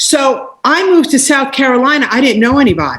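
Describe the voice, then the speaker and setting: A woman speaks at a fairly quick pace. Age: 60s. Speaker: life coach and entrepreneur. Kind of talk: interview. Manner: animated.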